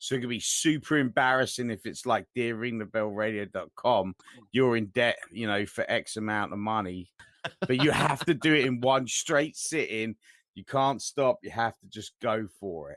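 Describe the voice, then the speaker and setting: In a London accent, a man speaks at a moderate pace and medium pitch with ordinary pitch variation and big swings in loudness, in a dry, close sound with no echo. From England, Southwest London. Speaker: podcast co-host. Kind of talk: casual chat. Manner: calm.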